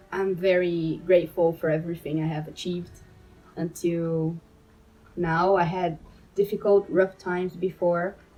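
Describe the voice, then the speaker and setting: Fairly slow speech in a Portuguese accent over music in the background. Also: woman. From Brazil. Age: 20s. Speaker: medical student. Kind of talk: personal monologue to camera. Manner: halting, with fillers.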